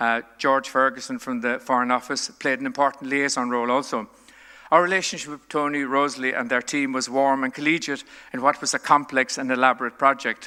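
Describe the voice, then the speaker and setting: The voice is bright and sharp in tone, moving at a fairly quick pace with fairly even intonation. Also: man, medium pitch for a man. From Ireland, West Limerick. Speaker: retired senior diplomat. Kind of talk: keynote address. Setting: conference stage with audience. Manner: formal.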